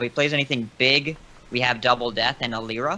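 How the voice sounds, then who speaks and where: At a fairly quick pace, a man speaks with a bright, sharp tone, medium pitch and fairly even intonation. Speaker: podcast guest playing a card game. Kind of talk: live gameplay commentary. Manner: fast.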